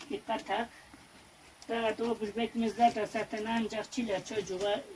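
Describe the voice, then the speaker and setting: A woman's fairly high voice, flat and monotone in intonation, at a fairly slow pace. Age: 70s. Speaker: village farmer, mulberry molasses maker. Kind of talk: interview answer.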